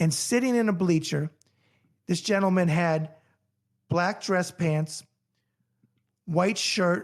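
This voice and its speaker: A man with a New York accent speaks at a high pitch and a very slow pace, with long, frequent pauses. His loudness is very even, and the recording is very clean with a silent background. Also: ordinary pitch variation. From New York, then Florida. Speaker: boxing journalist and Navy veteran. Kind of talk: casual interview chat.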